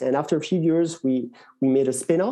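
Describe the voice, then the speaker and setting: A man speaks in a dark, mellow tone with a French accent. The background is quiet. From France. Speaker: tech executive. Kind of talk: interview. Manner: hesitant, many fillers.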